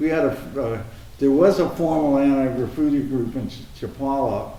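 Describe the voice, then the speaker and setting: Amid noticeable background noise and audible room echo, a man with an American accent and a fairly high pitch talks at a moderate pace with fairly even intonation. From Arizona, US. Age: 70s. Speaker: anti-graffiti volunteer, retired engineer. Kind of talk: interview conversation. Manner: halting.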